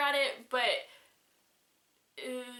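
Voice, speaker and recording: A woman's high, bright, sharp voice, raised and projected, at a moderate pace amid audible room echo. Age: 20s. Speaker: video blogger. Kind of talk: vlog letter to a friend. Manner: halting, many restarts.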